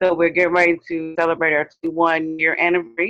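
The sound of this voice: The delivery is fast, with little pitch movement. The tone is fairly bright. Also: woman, low pitch for a woman.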